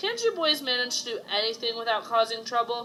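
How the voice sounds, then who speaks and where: Using a put-on character voice, a woman speaks high and raspy at a fairly quick pace with fairly even intonation. Background noise is clearly audible. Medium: read story.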